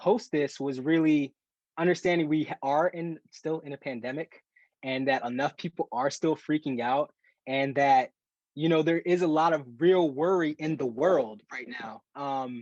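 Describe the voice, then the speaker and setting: Energetic and enthusiastic, a man speaks at a fairly high pitch with ordinary variation and a moderate pace. The sound is dry and close, with no echo. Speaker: professional athlete and track runner. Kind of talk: talk to a group on a video call. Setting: video call.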